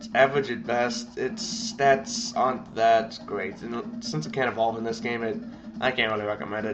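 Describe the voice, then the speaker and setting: A male speaker, neither fast nor slow, comes through noticeable background noise. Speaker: video game commentator. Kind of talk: let's play game commentary. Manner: halting, stuttering.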